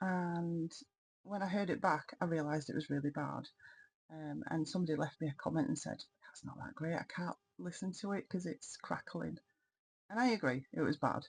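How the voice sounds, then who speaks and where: There is vocal fry in this woman's voice. She speaks at a moderate pace with lively intonation. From Yorkshire, northern England. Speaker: crafting vlogger. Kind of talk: casual vlog talk. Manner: hesitant, many ums.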